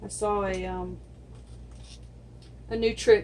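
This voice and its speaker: A woman's voice with audible room echo. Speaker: acrylic pour artist. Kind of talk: tutorial. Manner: soft-spoken.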